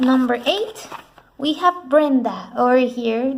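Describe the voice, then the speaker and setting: A high-pitched woman's voice at a fairly slow pace, with ordinary pitch variation. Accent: non-native. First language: not English. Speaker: artist, art vlogger. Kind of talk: casual narrated sketchbook tour. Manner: halting, with fillers and restarts.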